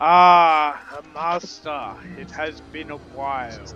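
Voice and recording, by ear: A man puts on a gruff character voice, pitched fairly high. He talks at a very slow pace with fairly even intonation.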